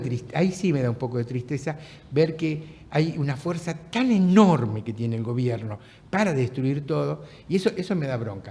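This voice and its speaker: Man with a Rioplatense accent, fairly high pitch, a dark, mellow tone, somewhat breathy, lively intonation and a fairly slow pace. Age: 70s. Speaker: writer and former political prisoner. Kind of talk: casual chat. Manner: halting.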